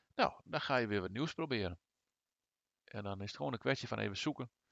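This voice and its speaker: A man with a fairly low pitch speaks with vocal fry. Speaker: gaming YouTuber. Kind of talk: tutorial. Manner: hesitant, many filler sounds.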